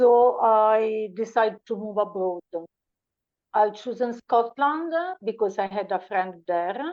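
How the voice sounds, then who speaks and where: A woman with a fairly high pitch speaks very slowly with an Italian accent. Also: ordinary pitch variation. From Italy. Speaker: podcast guest. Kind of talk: interview. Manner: halting.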